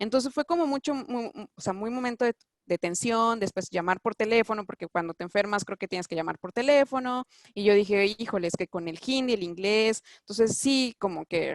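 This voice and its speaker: A woman in a Mexican accent, fairly high-pitched and fairly quick, with lively intonation and a dry, close sound free of echo. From Mexico. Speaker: doctor living abroad. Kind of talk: interview. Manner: halting, many fillers and restarts.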